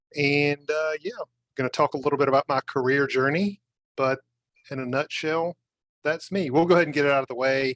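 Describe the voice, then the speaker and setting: A man with a Southern US accent speaks at a moderate pace in a fairly high pitch. His intonation is fairly even, and the sound is dry and close with no echo. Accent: decidedly Southern US. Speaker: scrum master. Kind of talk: live webinar interview.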